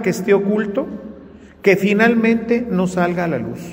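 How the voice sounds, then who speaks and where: A man's voice with audible room echo and noticeable background noise. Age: 60s. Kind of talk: sermon. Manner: conversational.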